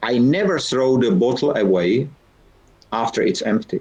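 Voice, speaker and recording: A man with a Czech accent at medium pitch and a moderate pace, his pitch swinging very widely. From Czech Republic. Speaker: founder and keynote speaker. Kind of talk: guest talk in online lecture. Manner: halting.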